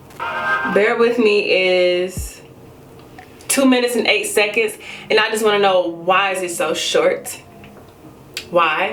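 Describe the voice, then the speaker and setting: Her voice is pitched fairly high for a woman. The space adds audible room echo, and noticeable background noise comes through as well. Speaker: music reviewer. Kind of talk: album review monologue. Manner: casual, animated.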